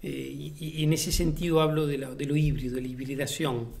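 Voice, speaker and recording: A somewhat breathy man's voice with fairly even intonation and audible room echo. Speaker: playwright and theatre director. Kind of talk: interview monologue. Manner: hesitant, many fillers and repeated words.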